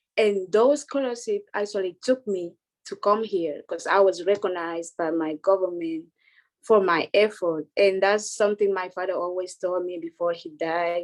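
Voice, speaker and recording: A woman talks at a moderate pace and medium pitch, with ordinary pitch variation. The background is quiet. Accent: Spanish. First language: Spanish. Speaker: international student. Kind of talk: panel discussion. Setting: video call.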